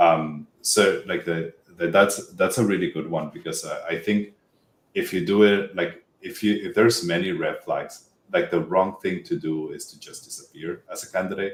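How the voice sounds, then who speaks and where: His volume rises and falls in big swings. The man talks at a moderate speed. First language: Spanish. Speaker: tech job-hunting expert. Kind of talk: podcast interview. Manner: halting, many fillers and restarts.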